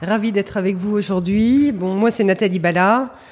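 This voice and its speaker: A woman's voice with a dark, mellow tone and ordinary pitch variation. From Paris region, France. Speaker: retail company executive. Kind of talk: interview.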